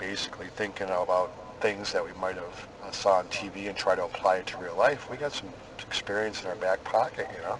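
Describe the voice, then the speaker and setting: With noticeable background noise around him, a man speaks at a fairly quick pace and fairly low pitch. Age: 40s. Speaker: police investigator. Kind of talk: police interview. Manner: casual, friendly.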